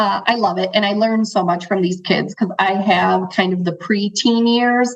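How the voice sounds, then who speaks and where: Somewhat breathy woman's voice at medium pitch, ordinary pitch variation and a fairly slow pace. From Chicago, US, Central American parents. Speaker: financial advisor. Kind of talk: interview conversation.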